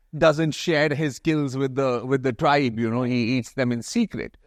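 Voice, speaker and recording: A man speaks in a plain, everyday voice at medium pitch and a fairly slow pace, with fairly even intonation and a dry, close sound with no echo. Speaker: journalist, TV host. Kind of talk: interview answer. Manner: casual, humorous.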